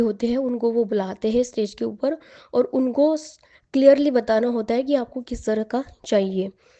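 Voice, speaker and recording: A woman's fairly high voice, dark and mellow in tone, with fairly even intonation. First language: Marathi (speaking Hindi). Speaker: aspiring public speaker sharing success story. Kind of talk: testimony. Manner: conversational with hesitations.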